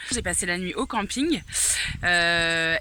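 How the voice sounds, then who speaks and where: A woman's bright, sharp voice at a very slow pace with ordinary pitch variation. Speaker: hiker vlogger. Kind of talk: vlog. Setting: outdoors. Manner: hesitant.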